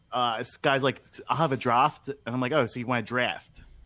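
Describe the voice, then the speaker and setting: Here a man talks with a Philadelphia accent. His tone is bright and sharp. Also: very clean recording, silent background. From Philadelphia, Pennsylvania. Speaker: podcast co-host. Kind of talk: casual chat.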